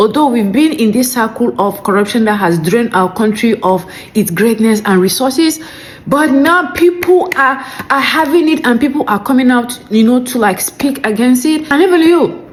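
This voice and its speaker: A woman with a high pitch speaks at a moderate pace, her pitch swinging very widely while her loudness stays very even. Noticeable background noise is present. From Nigeria. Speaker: commentary video creator. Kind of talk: reaction commentary.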